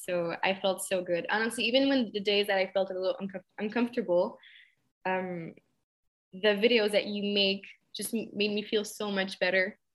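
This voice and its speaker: A woman speaks in a Quebec French accent at a medium pitch. Her pace is moderate and her pitch varies in an ordinary way. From Quebec, Montreal. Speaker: fitness coaching client. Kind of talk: testimony.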